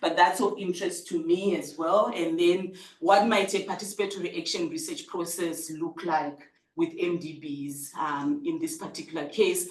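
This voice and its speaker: A medium-pitched woman's voice with ordinary pitch variation, audible room echo and noticeable background noise. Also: moderate pace. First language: not English. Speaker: researcher presenting at a seminar. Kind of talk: conference presentation. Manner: hesitant, many fillers.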